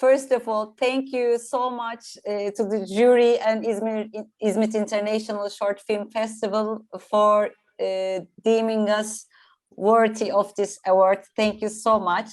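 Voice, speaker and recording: A woman with a non-native accent talks at a fairly slow pace in a fairly high voice. Her intonation is monotone and flat, and the recording is very clean with a silent background. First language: not English. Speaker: film producer and writer. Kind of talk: award acceptance speech. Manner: halting, hesitant.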